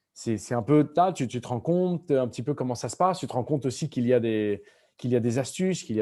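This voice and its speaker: A man with a medium-pitched voice and a dark, mellow tone talks at a very fast pace with lively intonation, in a very clean recording with a silent background. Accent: Spanish. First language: Spanish (speaking French). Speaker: novelist. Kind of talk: school Q&A conversation. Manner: halting with many repetitions.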